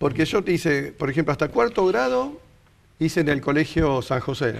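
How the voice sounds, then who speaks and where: The speaker is a man with a fairly high pitch. He keeps a moderate pace. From Argentina, Rosario. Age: 60s. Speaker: interview guest. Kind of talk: casual interview.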